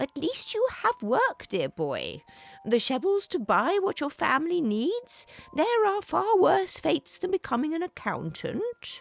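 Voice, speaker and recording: This put-on character voice is pitched extremely high and moves at a fairly slow pace. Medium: read story. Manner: warm, avuncular.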